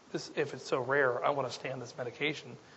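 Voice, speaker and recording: A man is speaking here. His pace is very fast. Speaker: dermatologist. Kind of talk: lecture. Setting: stage with audience.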